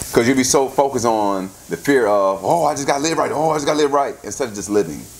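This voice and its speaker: A man at medium pitch talks very fast with lively intonation and vocal fry, and audible room echo surrounds his voice. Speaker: pastor. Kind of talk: sermon. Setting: church service with congregation. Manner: interactive, call-and-response.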